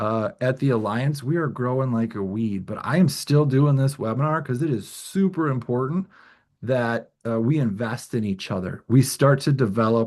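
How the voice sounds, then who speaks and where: This man talks at a moderate pace. He speaks at a medium pitch. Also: ordinary pitch variation, quiet background. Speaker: webinar presenter on lean management. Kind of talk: webinar presentation. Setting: online webinar.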